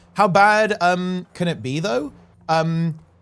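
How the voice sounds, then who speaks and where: On a very clean recording with a silent background, someone speaks at a very slow pace with a British accent. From UK. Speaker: streamer. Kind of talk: casual chat. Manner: halting.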